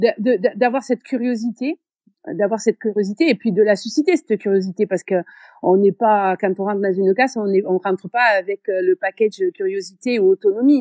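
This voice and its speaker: A woman talks at a fairly quick pace in a strong southern French accent. Her tone is dark and mellow, with a dry, close sound and no echo. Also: medium pitch for a woman, ordinary pitch variation, quiet background. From southern France (Béziers). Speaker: teacher. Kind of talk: interview. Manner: hesitant, many fillers.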